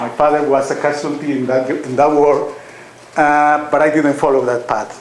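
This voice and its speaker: Audible room echo and noticeable background noise surround a man's voice. He speaks at a moderate pace with a fairly high pitch and monotone, flat intonation. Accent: Colombian. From Colombia. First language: Spanish. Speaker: author and university teacher. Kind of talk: public talk at a reading event. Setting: lecture hall with audience. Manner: halting, with many fillers.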